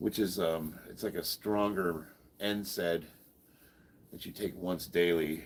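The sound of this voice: A man talks in a low voice with a slightly husky edge and an American accent. His pace is slow and his intonation fairly even.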